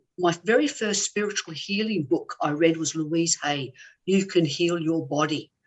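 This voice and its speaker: With an Australian accent, a woman speaks at a fairly low pitch and a moderate pace, with ordinary pitch variation. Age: 60s. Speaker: former squash champion and healer. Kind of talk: interview.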